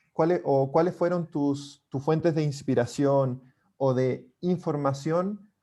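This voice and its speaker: A man with a Chilean accent speaks very slowly in a fairly high pitch and a dark, mellow tone. His intonation is fairly even against a quiet background. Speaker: book club member. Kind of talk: book club discussion.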